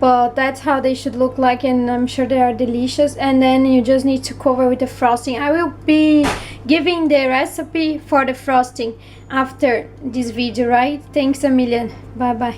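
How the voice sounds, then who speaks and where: A woman's high-pitched, monotone, flat voice with a non-native accent, with music in the background. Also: moderate pace. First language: not English. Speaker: home baker. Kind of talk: cooking tutorial. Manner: casual, halting.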